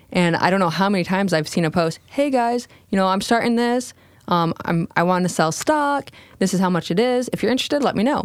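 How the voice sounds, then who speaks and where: An ordinary speaking voice with an American accent moves at a fairly quick pace. The intonation is lively and the loudness very even. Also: woman, medium pitch for a woman. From US Midwest, small-town Michigan. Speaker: cricket farm co-founder, Coast Guard veteran. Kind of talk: casual interview. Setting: studio.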